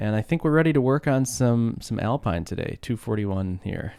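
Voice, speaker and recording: A man talks at a moderate pace in a rumbling, relaxed tone. His intonation is lively. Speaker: open-source developer live streaming. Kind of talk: casual live stream chat. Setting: live stream from home desk. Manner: relaxed, conversational.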